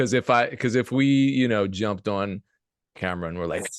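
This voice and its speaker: A man's voice, dry and close with no echo, over a quiet background. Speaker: music producer and YouTuber. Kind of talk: casual interview chat. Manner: monotone; low energy, not animated.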